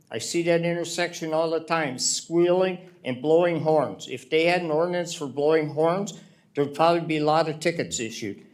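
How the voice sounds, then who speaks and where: With an American accent, the voice comes through over noticeable background noise. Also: man. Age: 70s. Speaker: resident speaking at public meeting. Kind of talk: public comment at city meeting. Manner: animated.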